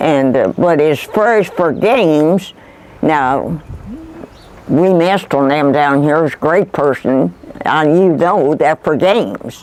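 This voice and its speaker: Someone speaks at a very slow pace in a rural Kentucky accent, with lively intonation. The loudness stays very even over noticeable background noise. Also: woman, very deep, low pitch for a woman. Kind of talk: oral history interview answer.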